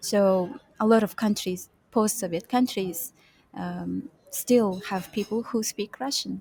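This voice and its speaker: A woman with a Kazakh accent speaks very slowly in a somewhat breathy, dark, mellow tone at medium pitch. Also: ordinary pitch variation. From Kazakhstan. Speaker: UX and UI designer, freelancer. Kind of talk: interview. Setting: co-working space, video call. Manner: halting, with fillers.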